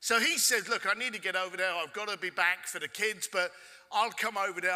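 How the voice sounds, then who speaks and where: In a London accent, a man speaks animated and high-pitched, his raised, projected voice bright and sharp at a fairly quick pace. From London, England. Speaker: keynote speaker. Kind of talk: storytelling keynote talk. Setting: stage with audience.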